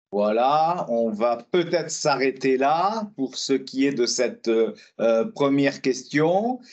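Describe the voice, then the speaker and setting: At a very slow pace, a man speaks with hardly any pauses. His medium-pitched voice has lively intonation and very even loudness. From southwest France, Lot-et-Garonne. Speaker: trade union trainer. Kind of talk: webinar presentation. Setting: online webinar. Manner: halting, many hesitations.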